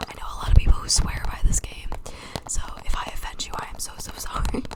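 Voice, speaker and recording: Whispering at a very fast pace, a woman speaks over noticeable background noise. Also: big swings in loudness. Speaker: ASMR creator. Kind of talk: ASMR whispered chitchat. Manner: whispered.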